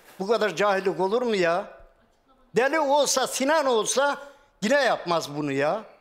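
A man speaks fairly slowly at a high pitch, with very wide pitch swings. The background is quiet. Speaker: retired farmer, husband of missing woman. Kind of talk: TV talk show testimony. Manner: emotional, repetitive. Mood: upset, defensive, pleading. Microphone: lapel.

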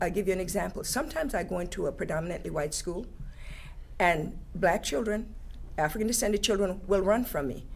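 A woman's fairly quick speech with vocal fry. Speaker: teacher. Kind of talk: panel discussion. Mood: earnest, engaged. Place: studio.

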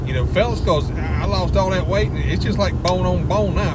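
Against loud background noise, a man talks at a fairly quick pace with ordinary pitch variation in a dry sound with no echo. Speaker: restaurant reviewer. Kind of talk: casual vlog chat. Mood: joking, mildly indignant. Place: car. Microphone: phone near.

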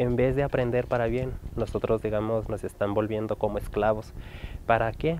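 Against light background noise, a man speaks at medium pitch and a moderate pace with fairly even intonation, the sound dry with no echo. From Chihuahua, Mexico. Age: young. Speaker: interviewee. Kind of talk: interview testimony. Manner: halting, many fillers. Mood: serious, concerned.

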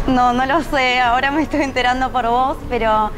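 The speech comes at a moderate pace with fairly even intonation. Noticeable background noise runs underneath. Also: woman. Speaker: TV interviewee. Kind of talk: interview answer. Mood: happy, smiling, laughing. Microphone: lapel.

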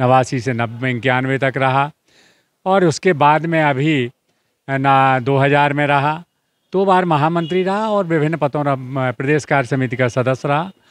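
A man with an unremarkable speaking voice talks at a fairly high pitch with ordinary variation and very even loudness. The recording is very clean with a silent background. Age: 60s. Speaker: independent election candidate, politician. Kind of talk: interview.

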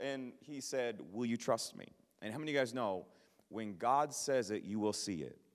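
Over a quiet background, a man with an American accent talks in an animated tone at a moderate pace with ordinary pitch variation. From Minnesota (Minneapolis). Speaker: traveling evangelist. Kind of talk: sermon. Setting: church. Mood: passionate, humorous at times. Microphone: handheld.

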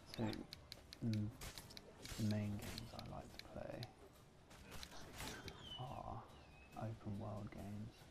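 Over noticeable background noise, a soft-spoken man talks very slowly in a fairly low, monotone, flat voice. He leaves long, frequent pauses. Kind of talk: ASMR gameplay commentary.

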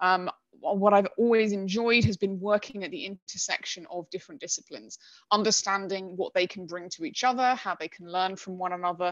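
A woman talks at a moderate pace with ordinary pitch variation, the sound dry with no echo and the background quiet. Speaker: data governance specialist; guest. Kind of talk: presentation. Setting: video call. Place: home room. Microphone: headset.

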